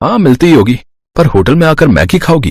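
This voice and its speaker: In a cartoonish character voice, a man speaks at a fairly quick pace with fairly high pitch, very wide pitch swings and very even loudness. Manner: easygoing.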